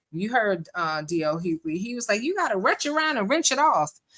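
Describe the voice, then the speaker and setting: A woman speaks at a moderate pace in a bright, sharp, animated tone. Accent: northern US. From northern US. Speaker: live-stream commentator. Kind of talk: live-stream reaction commentary. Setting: live stream with chat. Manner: casual, animated.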